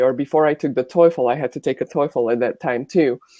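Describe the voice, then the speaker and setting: A woman's dark, mellow voice with a Bulgarian accent and ordinary pitch variation, dry and close with no echo, over a quiet background. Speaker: former college volleyball player. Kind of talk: panel discussion.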